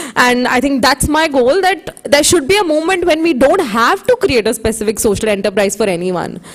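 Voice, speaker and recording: Amid noticeable background noise, a high-pitched woman speaks at a moderate pace with very wide pitch swings. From India. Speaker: social entrepreneur, sign language advocate. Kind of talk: conference panel talk.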